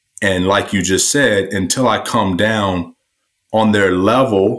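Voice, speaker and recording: A man with an ordinary speaking voice and a fairly low pitch talks at a moderate pace with fairly even intonation. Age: 40s. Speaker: entrepreneur and author. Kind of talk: casual interview.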